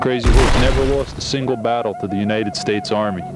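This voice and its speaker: Over music in the background, a man talks at a moderate pace in a dry sound with no echo. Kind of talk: interview answer. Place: street. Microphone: handheld.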